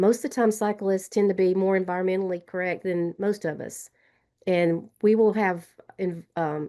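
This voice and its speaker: A woman speaks with a Southern US accent. Her voice is dark and mellow at a medium pitch. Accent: Southern drawl. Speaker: trail advocate. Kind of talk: webinar panel discussion. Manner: fast; animated.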